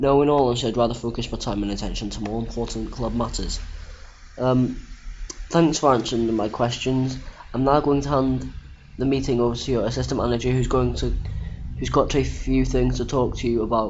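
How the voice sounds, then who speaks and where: A man speaks at a fairly quick pace. The recording has noticeable background noise and an audible room echo. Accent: British. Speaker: gaming youtuber. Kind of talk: gameplay commentary. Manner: halting; casual.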